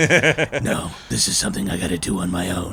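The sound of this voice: A man uses a put-on character voice, pitched very deep and low, at a moderate pace. Background noise is clearly audible.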